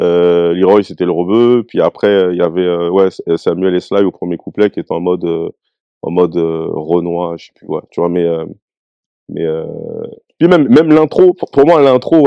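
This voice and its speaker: A man speaks slowly in a normal speaking voice with lively intonation. His loudness swings widely. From France, Bondy (Seine-Saint-Denis, Paris suburbs). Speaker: rapper. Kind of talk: casual interview chat.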